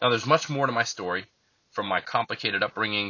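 This man has a normal speaking voice at a medium pitch, talking at a fairly quick pace with ordinary pitch variation. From central Florida, US. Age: 30s. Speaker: podcast host and author. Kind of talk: reading aloud from own book.

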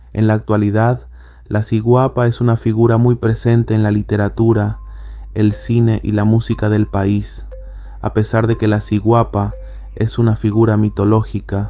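A man's voice at a moderate pace, very even in loudness, with music in the background. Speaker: podcast host. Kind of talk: horror legend narration, reading an article aloud. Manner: measured, storyteller-like narration.

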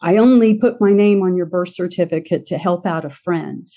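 A woman speaks with an American accent in a plain, everyday voice. She uses a fairly low pitch, a moderate pace and ordinary pitch variation. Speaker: adoptee and author. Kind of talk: interview.

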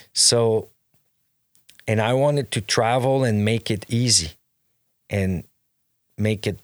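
A man with a Quebec accent speaks at a very slow pace. The recording is very clean, with a silent background. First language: French. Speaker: clothing brand owner. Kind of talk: casual interview chat. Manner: halting, many fillers and restarts.

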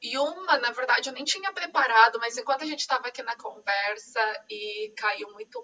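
A woman speaks with a bright, sharp tone at a fairly high pitch. Her pace is moderate and her intonation lively. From Brazil, São Paulo (East Zone). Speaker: podcast host. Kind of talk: casual interview chat.

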